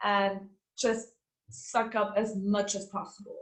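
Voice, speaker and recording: Fairly slow speech from a woman with a German accent, fairly high-pitched, with audible room echo. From Austria. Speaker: former master's student, ex-TV journalist. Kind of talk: interview Q&A.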